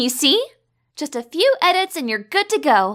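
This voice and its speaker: A cartoonish character voice that sounds female speaks at a high pitch and moderate pace with very wide pitch swings, on a very clean recording with a silent background. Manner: earnest, precise, quick to bristle.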